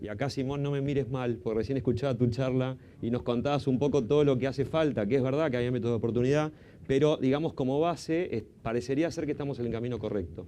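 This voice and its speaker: Speaking very fast in an Argentine accent, a man has a medium pitch, a dark, mellow tone and ordinary pitch variation. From Argentina. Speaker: panel moderator, consultant. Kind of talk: conference panel introduction. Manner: hesitant, many fillers.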